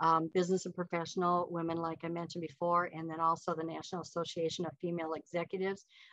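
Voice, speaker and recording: A woman at a very fast pace, in a monotone, flat intonation. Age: 70s. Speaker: author and retired financial advisor. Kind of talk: interview.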